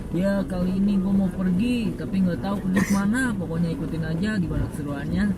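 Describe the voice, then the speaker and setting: Over noticeable background noise, the speech moves at a very fast pace. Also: hardly any pauses. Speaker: vlogger. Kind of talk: casual vlog talk to camera.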